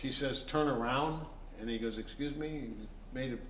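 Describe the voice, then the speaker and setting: Amid noticeable background noise and audible room echo, a man with a fairly high pitch speaks at a moderate pace with fairly even intonation. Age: 60s. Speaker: blues musician. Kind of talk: casual interview. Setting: antiques shop venue.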